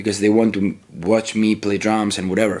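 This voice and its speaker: A man with an Italian accent, fairly low in pitch, at a fairly quick pace. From Italy. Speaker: metal musician. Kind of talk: interview. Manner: halting.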